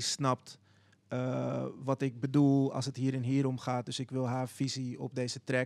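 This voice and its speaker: At a fairly slow pace, a man talks in a monotone, flat intonation. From Netherlands, Zaanstad; Netherlands. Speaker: visual artist and children's book writer; podcast host. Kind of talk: casual panel discussion. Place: studio. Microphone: handheld.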